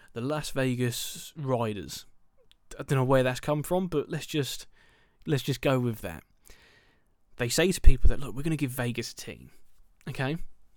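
On a very clean recording with a silent background, a man with a southern English accent speaks in an animated tone at a medium pitch with ordinary variation. His pace is moderate, with big swings in loudness and long, frequent pauses. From England, Milton Keynes. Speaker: baseball podcast host. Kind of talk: solo podcast commentary.

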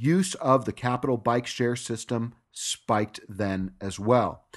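In an American accent, a man uses a normal speaking voice at a medium pitch with ordinary pitch variation against a quiet background. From Los Angeles, California. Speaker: podcast host. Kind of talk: podcast news commentary.

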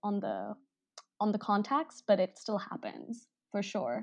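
Vocal fry at a fairly slow pace with ordinary pitch variation. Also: woman. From India, Delhi. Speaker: interviewer and musician. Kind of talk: interview. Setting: phone call.

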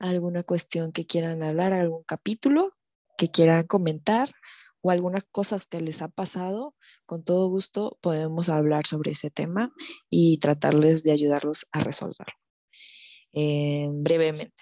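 A woman talks at a fairly slow pace in a fairly low voice with ordinary pitch variation. The sound is dry and close with no echo, over a quiet background. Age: 20s. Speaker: podcast host. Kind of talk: casual solo monologue. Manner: hesitant, many fillers.

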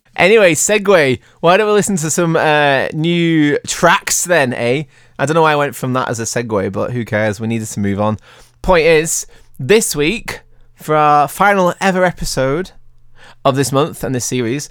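This man's pitch is fairly high, and his intonation is lively. He keeps a moderate pace. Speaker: podcast host. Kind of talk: casual chat. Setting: video call. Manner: animated, jokey.

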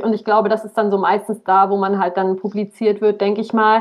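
A woman with an ordinary speaking voice talks at a moderate pace, her fairly high pitch held in fairly even intonation. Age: 20s. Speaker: aspiring author. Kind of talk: casual interview chat.

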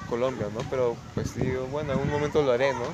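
A man's fairly even intonation amid noticeable background noise and audible room echo. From Peru, Lima. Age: 30s. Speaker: photographer. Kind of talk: interview.

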